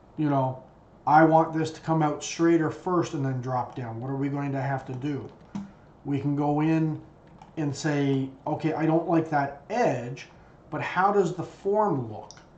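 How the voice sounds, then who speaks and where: A man with a fairly high pitch talks at a fairly slow pace with ordinary pitch variation, over audible room echo and noticeable background noise. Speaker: CAD design instructor. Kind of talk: tutorial.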